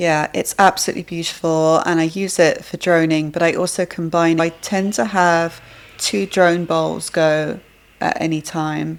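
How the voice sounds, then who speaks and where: A woman speaks at a moderate pace in an English accent. Her pitch is fairly low and her intonation fairly even. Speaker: sound healer. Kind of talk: interview answer.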